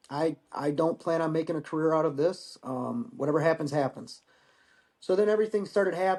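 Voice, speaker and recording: A man with a high-pitched voice speaks over a quiet background. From Michigan. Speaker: war veteran. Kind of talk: casual chat.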